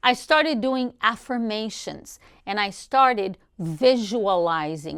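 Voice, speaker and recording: In a Portuguese accent, a woman speaks at a fairly slow pace with lively intonation on a very clean recording with a silent background. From Brazil. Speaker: real estate coach. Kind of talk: motivational talk.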